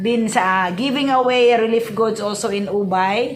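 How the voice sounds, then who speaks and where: A woman with a Visayan Filipino accent, fairly high pitch and lively intonation at a fairly slow pace, with audible room echo and noticeable background noise. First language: Cebuano (Bisaya). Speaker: vlogger. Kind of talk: casual vlog, unboxing. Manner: halting, many fillers.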